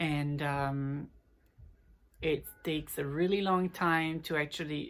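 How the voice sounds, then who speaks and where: A woman with an Italian accent speaks at a very slow pace in a very deep, low pitch. Her intonation is monotone and flat, and the recording is very clean with a silent background. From Italy. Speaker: vlogger. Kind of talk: casual vlog talk. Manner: halting, many fillers.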